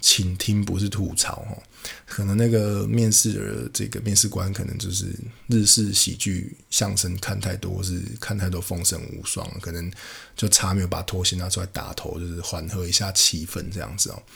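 A man's very deep, low voice with a Taiwanese accent. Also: fairly even intonation, moderate pace. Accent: Taiwanese Mandarin. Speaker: podcast host. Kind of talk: casual monologue.

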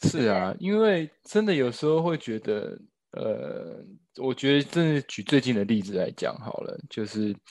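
This man's voice sits fairly high and swings very widely in pitch as he speaks at a fairly slow pace. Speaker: actor, new father. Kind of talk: casual chat interview.

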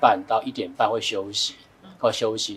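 This man has a plain, everyday voice, speaking with lively intonation at a moderate pace. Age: 40s. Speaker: finance expert. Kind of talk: casual chat.

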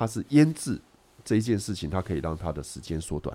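The man's tone is dark and mellow. His voice swings very widely in pitch. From Taiwan. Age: middle-aged. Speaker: food writer and nutritionist. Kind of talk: casual chat. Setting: studio with a kitchen.

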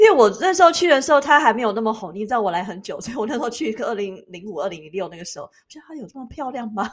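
A woman races along very fast with hardly any pauses, her fairly high voice making very wide pitch swings and big swings in loudness. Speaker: podcast host. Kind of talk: casual chat.

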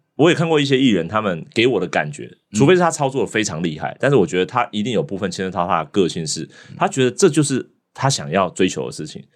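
Against a quiet background, a man talks at a very fast pace in a fairly low voice with vocal fry. His pitch swings very widely. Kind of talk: casual chat.

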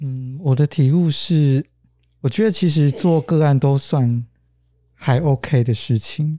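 This man has a fairly high voice with a dark, mellow tone. He talks at a very slow pace with ordinary pitch variation. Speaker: social worker. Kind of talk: interview.

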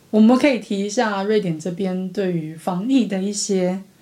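With ordinary pitch variation and a moderate pace, the woman talks over noticeable background noise. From Taiwan. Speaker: podcast co-host. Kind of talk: casual chat.

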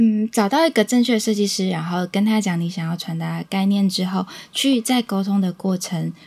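A somewhat breathy woman at medium pitch and moderate pace. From Taiwan, Changhua (Huatan). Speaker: small business owner, beekeeping family. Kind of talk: interview.

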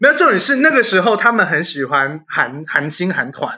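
This raised, projected voice has a bright, sharp tone. Its pitch swings very widely. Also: man. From Taiwan, Yunlin. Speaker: podcast host. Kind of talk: casual chat.

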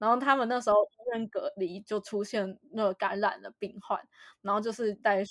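A woman speaks at a moderate pace in a fairly high pitch, her intonation flat and monotone, with a dry, close sound and no echo. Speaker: podcast host. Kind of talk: casual chat.

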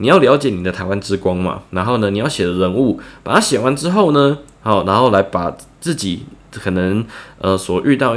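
Lively intonation runs through a man's fairly low, fairly quick delivery. It is a normal speaking voice. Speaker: writing tutor for students. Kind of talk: tutorial. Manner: casual, with many filler words.

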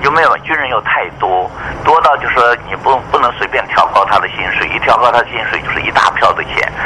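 A man is talking at a fairly quick pace. Background noise is noticeable throughout. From mainland China, moved to Taiwan as a teen. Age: 70s. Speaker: retired air force general and meteorologist. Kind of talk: radio interview.

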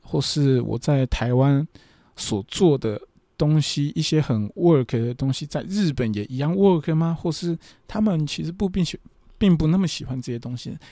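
Very clean and set against a silent background, this recording features a man with a dark, mellow tone and fairly high pitch. He talks at a fairly slow pace with ordinary pitch variation. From Taiwan. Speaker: podcast host and professional wrestler. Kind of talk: casual monologue, travel diary. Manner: hesitant, many filler sounds.

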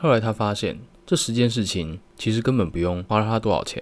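A man's fairly low voice at a moderate pace. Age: 20s. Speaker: multimedia designer and podcaster. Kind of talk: solo podcast monologue.

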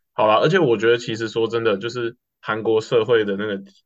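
A man with a plain, everyday voice speaks at a fairly quick pace in a fairly low pitch, with ordinary pitch variation. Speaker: student podcast co-host. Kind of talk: casual chat.

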